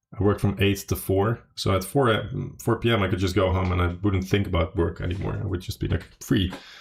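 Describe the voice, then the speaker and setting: Very fast in pace, a man speaks with a very deep, low pitch and a somewhat breathy sound. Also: fairly even intonation, very clean recording, silent background. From Netherlands. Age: 30s. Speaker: poker player. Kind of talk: casual chat. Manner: hesitant, many fillers.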